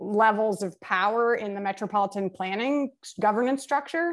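Over a quiet background, a woman with an American accent uses an ordinary speaking voice, fairly high in pitch, at a moderate pace. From New York City (Brooklyn). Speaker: geography professor. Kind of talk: interview.

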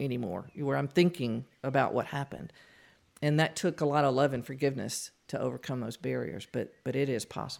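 In a Southern US accent, a woman talks at a fairly quick pace in a very deep, low voice with vocal fry and lively intonation, on a very clean recording with a silent background. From Louisiana. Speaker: author. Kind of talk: testimony.

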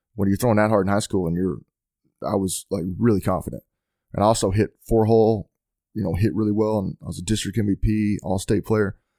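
A man with a Texan accent speaks very fast at a fairly low pitch, his dark, mellow tone and fairly even intonation captured in a very clean, dry, close recording with a silent background and no echo. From Texas, near Fort Worth. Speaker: football coach and former NFL player. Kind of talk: casual chat.

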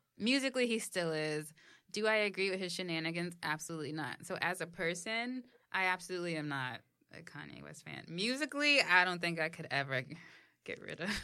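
A woman with a New York accent speaks fairly quickly in a bright, sharp tone at a fairly low pitch, with lively intonation and big swings in loudness. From New York, the Bronx. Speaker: podcast co-host. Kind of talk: casual chat.

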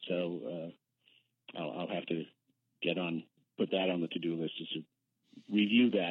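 This man has an American accent and a very deep, low pitch with ordinary pitch variation. He talks at a moderate pace, with long, frequent pauses. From Boston. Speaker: accountant at a worker cooperative. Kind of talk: radio interview.

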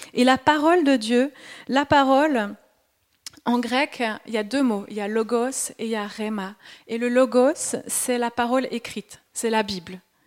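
A woman speaks at a fairly slow pace with a slight Swiss French accent, her high voice moving with ordinary pitch variation and broken by long, frequent pauses. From Switzerland. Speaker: preacher. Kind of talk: sermon.

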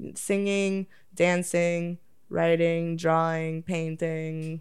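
In a Toronto accent, a woman speaks at a fairly low pitch. Her intonation is fairly even. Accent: Canadian (Toronto area). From Oakville, Ontario, Canada. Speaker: adult content creator. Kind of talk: casual chat.

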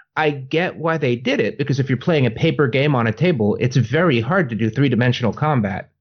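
A man talks at a fairly quick pace with hardly any pauses and very even loudness. His somewhat breathy voice sits at medium pitch with ordinary pitch variation. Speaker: podcast host. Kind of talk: casual chat. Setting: video call.

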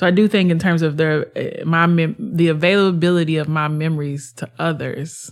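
At a moderate pace, the speaker talks in a normal speaking voice. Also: woman, fairly low pitch for a woman, hardly any pauses. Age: 30s. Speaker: poet. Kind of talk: interview conversation.

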